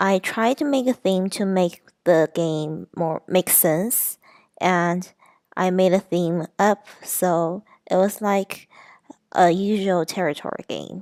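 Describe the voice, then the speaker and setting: The sound is dry and close with no echo as a woman speaks at a very slow pace. Her medium pitch shows ordinary variation. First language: not English. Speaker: student presenting a game design. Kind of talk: class presentation. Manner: halting.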